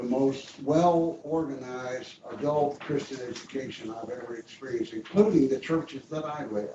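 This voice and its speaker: Somewhat breathy, this man's voice has a dark, mellow tone. He is the only speaker. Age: 80s+. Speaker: retired pastor. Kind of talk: tribute speech.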